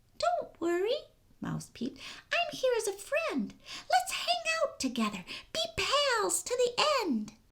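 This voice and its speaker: An extremely high, squeaky put-on character voice moves at a fairly slow pace. Long pauses come often. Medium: read story. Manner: small, timid, squeaky.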